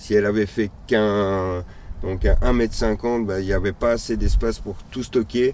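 A man talks at a fairly slow pace with a fairly low pitch. His intonation stays fairly even. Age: 40s. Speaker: nomadic cyclist traveller. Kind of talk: interview. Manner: halting.

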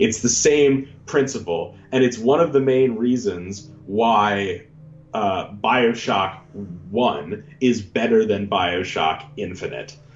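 Over music in the background, a man with a medium pitch talks at a very slow pace with lively intonation. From Canada. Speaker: podcast co-host. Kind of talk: casual banter podcast.

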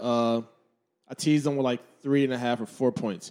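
A man with a dark, mellow tone talks at a moderate pace with fairly even intonation. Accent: American. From New Jersey, Trenton. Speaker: former college football player. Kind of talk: casual chat.

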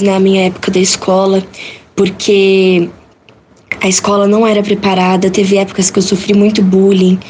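A woman speaks with monotone, flat intonation. Noticeable background noise runs behind her. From Brazil, São Paulo state. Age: young. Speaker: visually impaired student. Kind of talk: interview.

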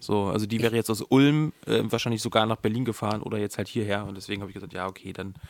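A man's fairly low voice at a very fast pace, with hardly any pauses and fairly even intonation. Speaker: podcast co-host. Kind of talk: casual chat.

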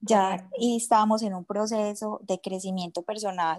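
With an Antioquian accent, the speaker talks at a fairly slow pace in a monotone, flat intonation. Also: woman, dry, close sound with no echo. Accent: Colombian paisa Spanish. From Colombia, Medellín. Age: 40s. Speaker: entrepreneur. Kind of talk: interview.

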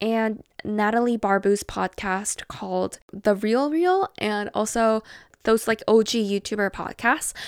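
There is no echo, and the sound is dry and close. Nothing is heard behind the voice in this very clean recording. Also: woman. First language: not English. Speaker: podcast host and artist. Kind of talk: casual chat. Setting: home, sitting on bed. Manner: relaxed.

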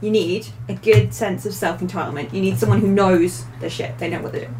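Noticeable background noise runs beneath a woman talking. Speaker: host's wife, guest. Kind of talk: casual chat.

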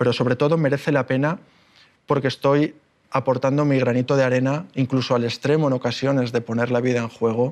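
A man speaks at a moderate pace with monotone, flat intonation. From Spain, Málaga (Andalusia). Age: 30s. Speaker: explorer and speaker. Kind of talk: public talk.

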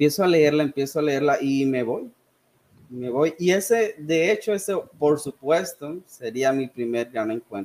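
In an ordinary speaking voice, a man with a fairly high pitch talks at a fairly slow pace with lively intonation. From Sonora, northern Mexico. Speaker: history and English teacher. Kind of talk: casual chat.

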